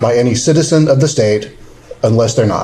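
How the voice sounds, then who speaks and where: A man mumbles over noticeable background noise. The room gives his voice an audible echo. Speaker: government lawyer giving training. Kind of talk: training seminar lecture. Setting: seminar room with live audience. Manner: fast; mumbling.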